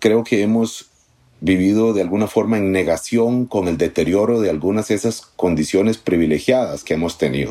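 This man has a dark, mellow tone and ordinary pitch variation. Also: fairly low pitch for a man, moderate pace. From Costa Rica, Poás (rural, near San José). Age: 40s. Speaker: journalist. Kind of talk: interview. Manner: halting, repeats words.

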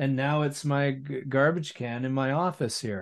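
The speaker goes at a very slow pace with fairly even intonation against a quiet background. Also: man. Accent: Canadian. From West Vancouver, British Columbia. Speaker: musician and broadcaster. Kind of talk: casual interview chat.

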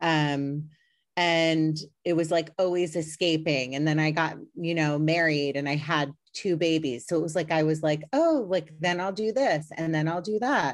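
Against a quiet background, a woman with a very deep, low pitch speaks at a moderate pace. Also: ordinary pitch variation, very even loudness. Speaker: podcast host guest. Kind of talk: casual interview.

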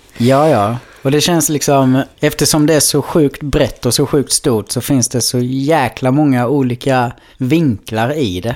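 Using a plain, everyday voice, a man speaks at a fairly slow pace in a medium pitch, with ordinary pitch variation and very even loudness. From Blekinge, southern Sweden. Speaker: podcast co-host. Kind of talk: casual chat.

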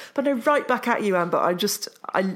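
A woman with an English accent at a moderate pace. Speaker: author and journalist. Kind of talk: casual chat.

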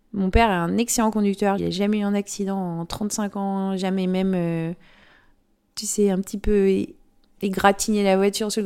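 On a very clean recording with a silent background, a woman with a medium-pitched, dark, mellow voice speaks at a moderate pace with fairly even intonation. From French-Swiss. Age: 40s. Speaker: amateur photographer. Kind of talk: interview monologue. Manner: hesitant, frequent fillers.

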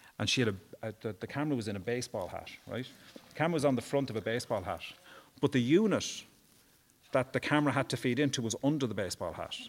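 A man with an Irish accent talks at a very fast pace, his medium pitch showing ordinary variation. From Ireland, Wexford. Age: 50s. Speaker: human rights campaigner. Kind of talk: casual interview.

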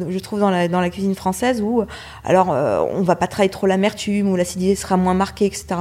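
The recording is very clean, with a silent background. A woman speaks in a medium pitch with a dark, mellow tone. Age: 40s. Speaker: chef. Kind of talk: interview. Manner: halting.

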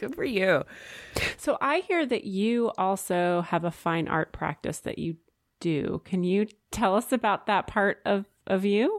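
A woman's normal speaking voice, medium in pitch and fairly slow, with lively intonation and a dry, close sound with no echo. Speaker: podcast co-host. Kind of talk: casual interview.

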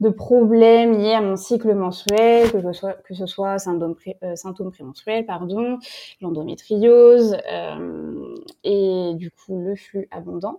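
A woman at a medium pitch and a very slow pace, with fairly even intonation. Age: 20s. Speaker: fashion brand founder. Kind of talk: interview. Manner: hesitant, many fillers.

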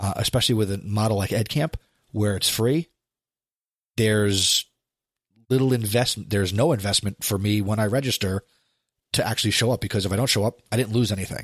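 Heard in a very clean recording with a silent background and a dry, close sound with no echo, a man with an American accent talks very fast yet with long, frequent pauses, at a fairly low pitch, with fairly even intonation and very even loudness. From New Jersey. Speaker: podcast co-host, educator. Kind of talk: casual chat.

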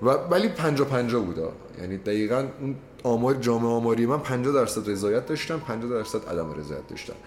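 Audible room echo follows a man speaking at a fairly quick pace. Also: medium pitch for a man, lively intonation. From Iranian Azerbaijan. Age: 20s. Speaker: law student. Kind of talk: casual chat.

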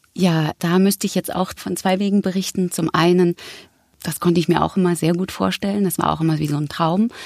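In a dry, close sound with no echo, a woman speaks at a fairly quick pace with a fairly low pitch and monotone, flat intonation. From Berlin, Germany. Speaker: actress and voice actor. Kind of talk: casual interview.

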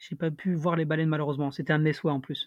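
At a fairly quick pace, a man with a fairly high pitch talks in an ordinary speaking voice. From Paris, France. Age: 20s. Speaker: traveller. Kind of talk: casual chat.

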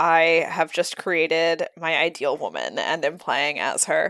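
A woman talks at a fairly low pitch in an ordinary speaking voice. The recording is very clean, with a silent background. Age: 20s. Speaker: podcast co-host and editor. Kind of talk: casual chat.

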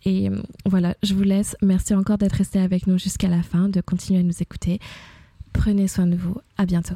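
Woman's somewhat breathy voice, monotone and flat, at a fairly quick pace with very even loudness and a dry, close sound with no echo. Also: medium pitch for a woman. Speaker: podcast host. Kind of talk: podcast intro and outro; casual interview. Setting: home apartment during heatwave.

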